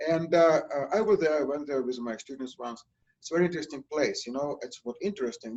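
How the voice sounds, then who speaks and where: A man with a Russian accent speaks at a fairly high pitch. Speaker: nursing instructor. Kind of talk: lecture. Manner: halting with many fillers.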